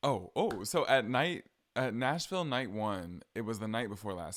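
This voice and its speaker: A man's fairly low voice at a fairly slow pace, in a very clean recording with a silent background. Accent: American. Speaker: podcaster. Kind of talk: casual chat. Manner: animated.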